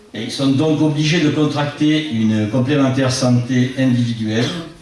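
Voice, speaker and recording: A man's medium-pitched voice at a fairly slow pace, with ordinary pitch variation, audible room echo and noticeable background noise. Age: 60s. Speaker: local election candidate. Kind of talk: public meeting speech. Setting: public meeting with audience. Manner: formal.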